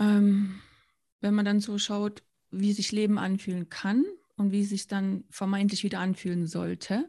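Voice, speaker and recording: With a dark, mellow tone, a woman speaks somewhat breathily at a medium pitch in a monotone, flat intonation. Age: 40s. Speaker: founder and children's author. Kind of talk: interview.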